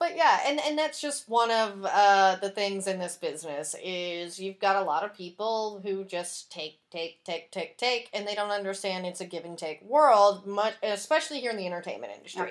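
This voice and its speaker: A woman's normal speaking voice at medium pitch, moderate pace with hardly any pauses, very clean recording against a silent background. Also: lively intonation. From Texas. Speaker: podcast host.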